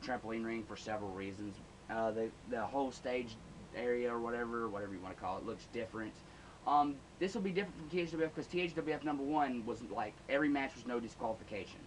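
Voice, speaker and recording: Noticeable background noise sits under a man who speaks very fast at a medium pitch with lively intonation. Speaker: backyard wrestling promoter, vlogger. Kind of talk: casual vlog monologue. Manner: halting, many repetitions.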